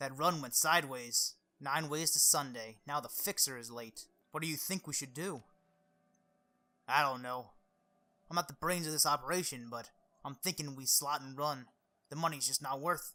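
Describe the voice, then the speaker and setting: In a put-on character voice, a man speaks gruffly at a fairly high pitch with ordinary pitch variation and a moderate pace. He leaves long, frequent pauses and makes big swings in loudness. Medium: game stream. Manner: surly, gruff.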